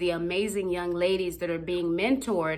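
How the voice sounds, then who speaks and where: Animated in tone, a woman speaks with a slight Haitian accent. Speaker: youth mentor and motivational speaker. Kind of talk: motivational talk.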